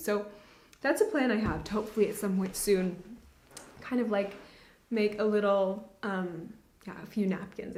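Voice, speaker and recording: A woman's medium-pitched voice at a fairly quick pace, ordinary pitch variation, and audible room echo. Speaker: knitting podcaster. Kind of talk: casual chat. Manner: fast.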